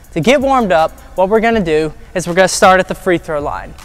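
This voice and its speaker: A man at a fairly quick pace, faint music in the background. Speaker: basketball trainer. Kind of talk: tutorial. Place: gym.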